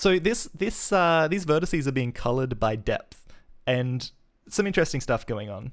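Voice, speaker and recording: Speaking at a moderate pace, a man with a fairly high pitch makes very wide pitch swings. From Australia, Adelaide. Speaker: programmer and streamer. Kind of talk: live coding stream. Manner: animated.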